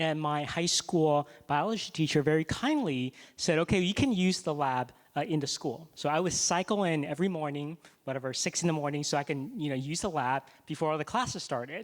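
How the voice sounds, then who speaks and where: In a very clean recording with a silent background, a man speaks at a fairly quick pace. He has a normal speaking voice, a fairly high pitch and ordinary pitch variation. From Taiwan, moved to the US at twelve. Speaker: scientist and physician. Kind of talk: fireside chat on stage.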